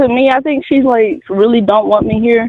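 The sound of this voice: A man at a fairly slow pace, in a dry, close sound with no echo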